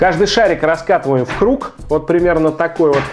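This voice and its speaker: A man at a moderate pace with faint music in the background. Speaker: home cooking channel host. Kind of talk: tutorial. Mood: lively, expressive. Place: kitchen. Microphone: lapel.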